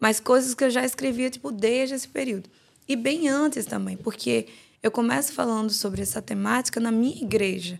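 A woman talks at a fairly quick pace with a fairly high pitch and ordinary pitch variation. She has a normal speaking voice. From Guinea-Bissau, raised in João Pessoa, Brazil. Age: 20s. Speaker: author and theology student. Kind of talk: podcast interview. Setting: studio.

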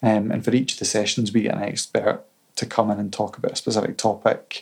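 With a Scottish accent, a man talks at a fairly quick pace in a fairly low pitch. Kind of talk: casual chat. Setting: in-person recording in Edinburgh.

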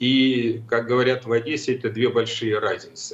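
Here a man talks at a fairly slow pace. His voice sounds somewhat breathy. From Ukraine. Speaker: retired general. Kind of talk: political talk show discussion.

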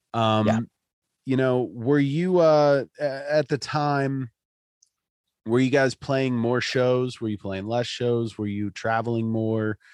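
Dry and close with no echo, a man with an American accent speaks at a very slow pace with ordinary pitch variation. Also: medium pitch for a man. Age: 30s. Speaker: podcast host. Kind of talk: casual interview.

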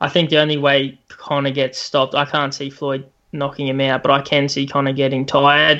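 A man with an Australian accent speaks at a fairly high pitch and a fairly quick pace, in a bright, sharp tone with monotone, flat intonation. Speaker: sports podcast co-host. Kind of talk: casual chat.

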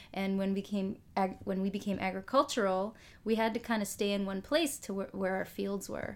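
Medium in pitch, a woman with an ordinary speaking voice and an American accent talks at a moderate pace with fairly even intonation on a very clean recording with a silent background. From Minnesota, near Fargo. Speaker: occupational therapist. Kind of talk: casual chat.

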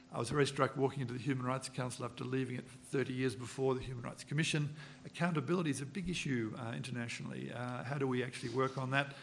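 Very fast, fairly even speech from a man at a medium pitch, over noticeable background noise. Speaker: diplomat. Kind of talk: panel discussion. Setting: conference panel with audience.

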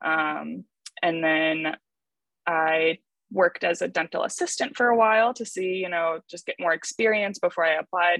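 The recording is dry and close with no echo as a woman with an American accent speaks at a moderate pace in a fairly low voice. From US Midwest, Chicago area. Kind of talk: interview. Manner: hesitant, many fillers.

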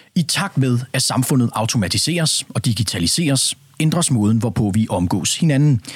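With lively intonation, a man talks at a medium pitch in a somewhat breathy voice. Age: young. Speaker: radio host. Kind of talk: radio discussion. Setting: studio.

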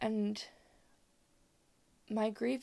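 A woman talks at a very slow pace in a dark, mellow tone, her medium pitch carrying vocal fry.

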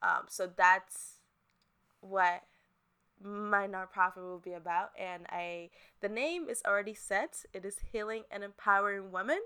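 A woman with an American accent speaks in a bright, sharp tone at medium pitch. Her pitch variation is ordinary, while her loudness swings a lot. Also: fairly slow pace. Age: 20s. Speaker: podcast host and fitness entrepreneur. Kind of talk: solo podcast intro monologue, casual.

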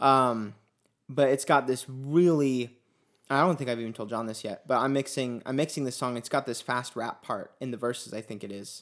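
A man with an unremarkable speaking voice talks at a moderate pace and a medium pitch, with fairly even intonation but big swings in loudness. The recording is very clean, with a silent background. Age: 20s. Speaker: podcast host and musician. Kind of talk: casual chat.

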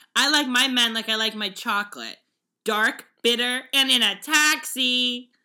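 A woman with an American accent, high in pitch and shrill, with a bright, sharp tone, an animated tone, ordinary pitch variation and a fairly slow pace. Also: very clean recording, silent background. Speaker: podcast co-host. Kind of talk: casual chat. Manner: animated, frequent laughter.

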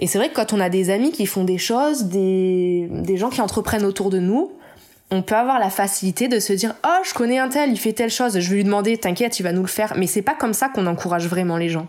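A woman talks at a fairly quick pace at a medium pitch with ordinary pitch variation. Hers is an ordinary speaking voice, with very even loudness. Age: 30s. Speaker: illustrator. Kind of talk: interview. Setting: at home.

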